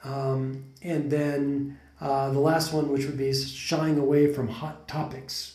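Against noticeable background noise, a man with a General American accent speaks at a medium pitch. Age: 40s. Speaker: podcast host. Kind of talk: casual conversational podcast.

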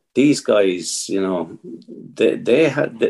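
With an Irish accent, a man talks at a very slow pace. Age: 50s. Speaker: competitive fly angler, team captain. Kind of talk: casual interview chat.

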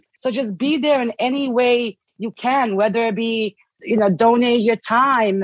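A woman speaks in a Bosnian accent at a fairly high pitch. Her pitch varies in an ordinary way, with a dry, close sound and no echo. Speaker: guest, Bosnian immigrant. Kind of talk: interview conversation. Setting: video call.

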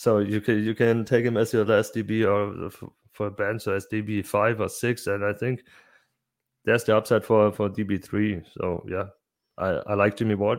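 A man with a German accent speaks at a moderate pace in a fairly low, flat monotone. The recording is very clean, with a silent background. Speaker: fantasy football podcaster. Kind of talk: casual interview chat about fantasy football. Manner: halting, hesitant, with fillers.

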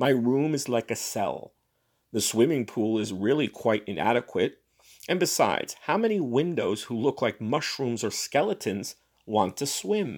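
In an ordinary speaking voice, a man talks at medium pitch and a moderate pace with lively intonation. The recording is very clean, with a silent background. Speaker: podcast host reading fiction aloud. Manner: measured, expressive storyteller delivery; casual, chatty in the intro and outro.

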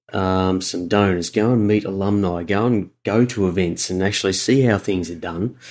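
A man with an Australian accent, fairly even intonation and hardly any pauses. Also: fairly low pitch for a man, moderate pace. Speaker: university fundraising and alumni relations professional. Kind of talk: casual interview conversation. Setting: remote call.

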